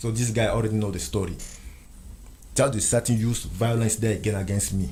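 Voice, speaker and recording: In a room with audible echo, a man with a French accent talks at a fairly quick pace and fairly low pitch with ordinary pitch variation. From Central Africa. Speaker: interview guest. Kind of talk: interview testimony.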